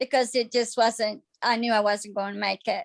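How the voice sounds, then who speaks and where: Speaking at a moderate pace, a woman has a high-pitched voice. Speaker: patient giving testimonial. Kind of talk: testimony. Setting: video call. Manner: halting.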